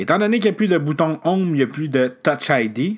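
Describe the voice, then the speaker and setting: A man speaks with a Quebec accent. His pace is fairly quick, with ordinary pitch variation. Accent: Québécois French. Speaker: podcast host. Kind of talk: solo tech news recap. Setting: alone at a microphone. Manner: hesitant, many filler sounds.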